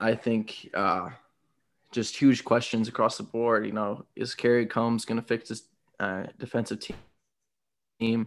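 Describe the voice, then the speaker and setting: A man's fairly slow, monotone, flat delivery with an American accent, long, frequent pauses and a quiet background. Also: medium pitch for a man. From Toledo, Ohio. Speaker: podcast co-host, college football fan. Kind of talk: casual chat. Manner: hesitant, many filler words.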